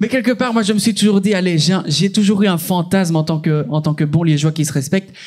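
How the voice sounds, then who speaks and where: Very fast, animated speech from a high-pitched man with a Liège accent and ordinary pitch variation. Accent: Belgian French, Liège. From Belgium, Liège. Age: 20s. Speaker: stand-up comedian. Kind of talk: stand-up. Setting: stage with audience.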